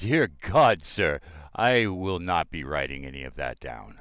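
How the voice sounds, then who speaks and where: A man puts on a character voice, very deep and low. His pitch swings very widely, with big swings in loudness. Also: fairly slow pace. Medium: actual play. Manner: florid, courtly.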